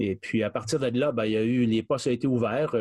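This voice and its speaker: Dry, close sound with no echo on a man's voice at medium pitch. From Quebec. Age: 60s. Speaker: charity director. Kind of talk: interview. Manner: halting.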